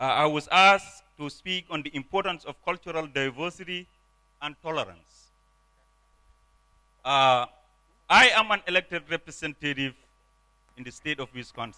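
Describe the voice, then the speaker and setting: Using a non-native accent, a man with a fairly high pitch and a bright, sharp tone speaks at a moderate pace, his pitch varying in an ordinary way, his loudness swinging widely, and his pauses long and frequent. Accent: foreign. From Gambia. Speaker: politician. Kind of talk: conference speech.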